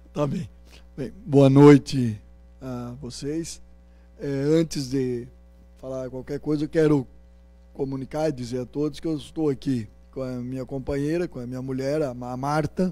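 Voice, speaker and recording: In a dark, mellow tone, the voice moves at a fairly slow pace with long, frequent pauses, fairly even intonation and big swings in loudness. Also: man, medium pitch for a man. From Paraná, Brazil (Rolândia). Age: 60s. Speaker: politician, candidate. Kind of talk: campaign interview. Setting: university event with audience.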